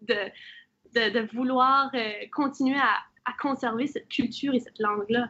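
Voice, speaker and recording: A woman with an Acadian accent speaks high in pitch with fairly even intonation. Her speech has long, frequent pauses. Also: moderate pace. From Acadia, Nova Scotia. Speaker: panelist. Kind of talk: panel discussion.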